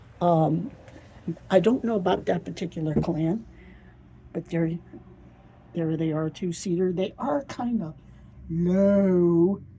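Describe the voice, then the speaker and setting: Slowly and with long, frequent pauses, a woman with an American accent speaks at a very slow pace, her voice fairly low and somewhat breathy. Her tone is dark and mellow, with ordinary pitch variation. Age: 70s. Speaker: thrift vlogger. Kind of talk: casual vlog narration.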